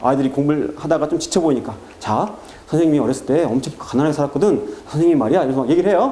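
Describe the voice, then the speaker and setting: A man rattles off words at a very fast pace amid noticeable background noise. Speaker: math academy director. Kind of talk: parent information talk. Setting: seminar with parents.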